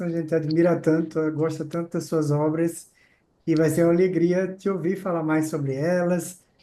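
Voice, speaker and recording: At a moderate pace, a man delivers a high-pitched, dark, mellow voice in a monotone, flat intonation. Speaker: podcast host.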